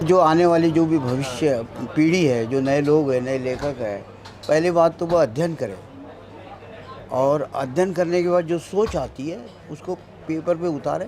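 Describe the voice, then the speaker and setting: Noticeable background noise accompanies a man whose fairly high pitch shows ordinary variation. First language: Marathi (speaking Hindi). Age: 70s. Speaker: author and tea stall owner. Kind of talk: interview.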